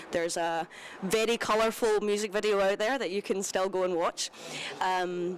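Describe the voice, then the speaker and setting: The speech comes in a Glaswegian accent at a moderate pace. Intonation is fairly even and loudness stays very even. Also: woman, medium pitch for a woman. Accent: Glaswegian Scottish. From Scotland, Glasgow. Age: 20s. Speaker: singer-songwriter. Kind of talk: interview. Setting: live broadcast from a cinema at a festival.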